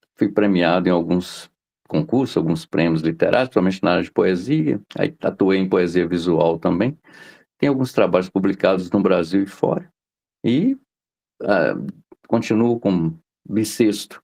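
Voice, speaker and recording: Very deep and low, this man's voice has a dark, mellow tone and ordinary pitch variation. He keeps a moderate pace, with long, frequent pauses. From Minas Gerais, Brazil (interior). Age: 60s. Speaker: journalist and poet. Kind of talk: interview.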